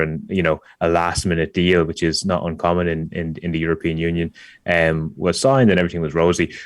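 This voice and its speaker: A man's very deep, low voice in an Irish accent, with monotone, flat intonation. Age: 30s. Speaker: startup founder. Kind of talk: podcast interview. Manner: halting, many repetitions.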